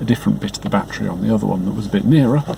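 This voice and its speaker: A soft-spoken man talks over noticeable background noise. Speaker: car owner making a repair update. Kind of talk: casual talk to camera. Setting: outdoors, with wind noise. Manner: soft-spoken, quiet.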